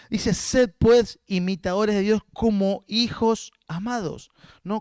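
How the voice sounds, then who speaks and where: This man speaks very slowly in a high pitch with fairly even intonation. The sound is dry and close, with no echo. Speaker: guest pastor. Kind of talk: sermon.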